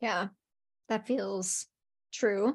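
The speech moves at a very slow pace. The sound is dry and close with no echo, over a quiet background. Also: woman. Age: 40s. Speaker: business coach and author. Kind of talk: casual chat.

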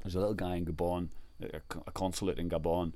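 Delivered at a very fast pace, the speech has audible room echo. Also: man. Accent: Irish. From Ireland. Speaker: travel blogger and adventurer. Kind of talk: casual interview chat.

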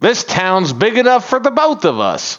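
Using a put-on character voice, a man speaks at a high pitch and a moderate pace with lively intonation. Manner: calm, reasonable.

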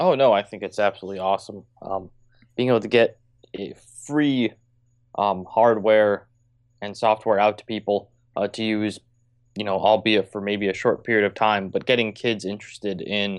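A man speaks in a normal speaking voice at a moderate pace with fairly even intonation. The background is quiet. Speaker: co-host. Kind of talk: casual banter. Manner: joking, casual.

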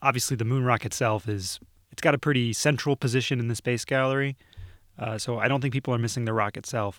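In a Midwestern American accent, a man speaks at a very fast pace with fairly even intonation, recorded very cleanly and dry, close and echo-free, against a silent background. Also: medium pitch for a man. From northern Ohio. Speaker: museum video producer. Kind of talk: casual interview.

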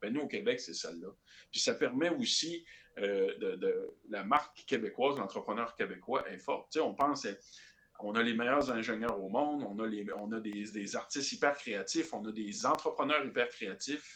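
The pace is moderate. The intonation is lively. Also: man, medium pitch for a man. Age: 20s. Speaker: political candidate. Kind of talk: podcast interview. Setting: remote call. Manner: halting, many repetitions.

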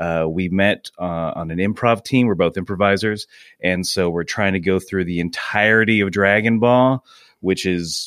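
An ordinary speaking voice from a man with a fairly low pitch and an American accent, at a moderate pace with fairly even intonation, in a very clean recording with a silent background and a dry, close sound with no echo. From US South, Georgia. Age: 30s. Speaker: comedy podcast co-host and improviser. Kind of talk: casual chat.

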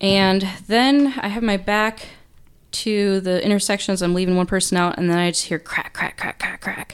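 A woman speaks in a plain, everyday voice at a medium pitch and moderate pace, with fairly even intonation. The recording is very clean with a silent background. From Wisconsin, US Midwest. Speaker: police officer. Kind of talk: casual interview, personal testimony.

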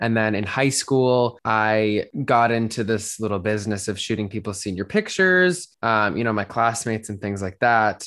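A man has an unremarkable speaking voice, fairly low in pitch with ordinary pitch variation, at a moderate pace with hardly any pauses. The recording is very clean, with a silent background. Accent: American. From Colorado, Denver. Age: 20s. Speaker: model and photographer. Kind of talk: interview.

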